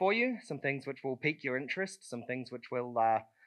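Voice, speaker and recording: A man with a New Zealand accent, bright, sharp tone and lively intonation against a quiet background. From southern New Zealand. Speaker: conference speaker. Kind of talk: conference talk. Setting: stage with audience. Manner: casual, many fillers.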